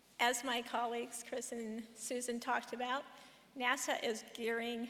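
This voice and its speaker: A woman speaks fairly slowly in a high pitch, her tone bright and sharp and her intonation monotone and flat. Audible room echo surrounds her voice. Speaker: professor, conference speaker. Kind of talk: conference talk. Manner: slightly slurred speech.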